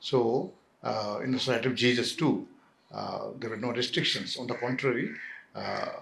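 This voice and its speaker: A man talks in a Jharkhand accent. His pace is moderate. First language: Kudukh. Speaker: Jesuit priest and academic. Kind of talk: oral history interview. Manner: halting, many fillers.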